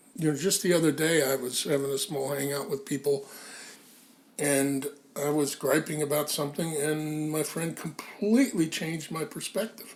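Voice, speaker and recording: At a moderate pace, a man speaks in a fairly high pitch. His pitch variation is ordinary. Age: 60s. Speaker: magazine founding editor. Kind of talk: casual chat. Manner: halting, many fillers.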